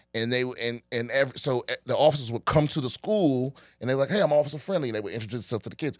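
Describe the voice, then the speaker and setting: Very fast speech with hardly any pauses and ordinary pitch variation, with a slight Washington DC accent, in a very clean, dry, close recording with no echo and a silent background. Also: man, medium pitch for a man. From Washington DC area. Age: 40s. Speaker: comedian. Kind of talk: casual chat.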